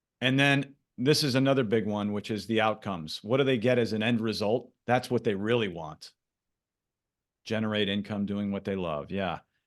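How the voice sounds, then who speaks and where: A man talks at a moderate pace in a normal speaking voice. His pitch is fairly low with ordinary variation, against a quiet background. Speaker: branding coach. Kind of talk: live workshop presentation. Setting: video call.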